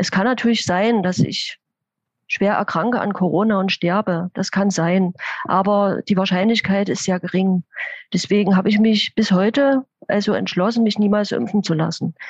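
This woman has an unremarkable speaking voice, pitched in the medium range, delivered at a moderate pace with fairly even intonation and a dry, close sound with no echo. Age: 50s. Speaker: intensive care nurse. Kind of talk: interview.

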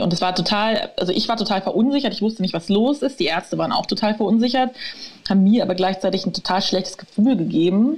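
A woman speaks at a very fast pace and a medium pitch. Her pitch varies in an ordinary way, and there is noticeable background noise. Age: 30s. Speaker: author and patient with overactive bladder. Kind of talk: interview, personal story.

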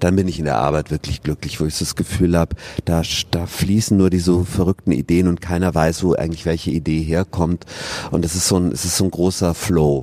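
A man speaks with a very deep, low pitch and fairly even intonation. Noticeable background noise is present. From southern Germany, Regensburg (Bavaria). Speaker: stage actor. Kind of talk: casual interview. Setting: theatre foyer.

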